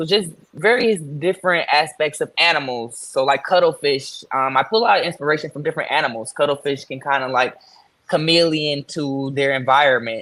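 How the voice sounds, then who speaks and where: With an American accent and an unremarkable speaking voice, a man talks at a fairly quick pace and fairly high pitch, using ordinary pitch variation. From Michigan, Detroit. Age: 20s. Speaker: fashion designer. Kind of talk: interview.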